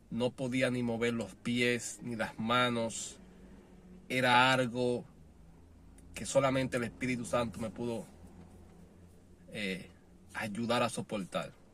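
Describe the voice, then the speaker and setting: A man at a very slow pace, with long, frequent pauses, a medium pitch, and audible room echo. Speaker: preacher. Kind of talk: sermon. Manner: halting.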